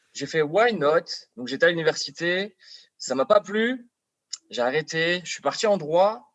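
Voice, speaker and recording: A man's high voice with a French accent, fairly slow with long, frequent pauses and lively intonation, in a dry, close sound with no echo. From France, Paris. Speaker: actor. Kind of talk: casual chat. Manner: halting, repeats words.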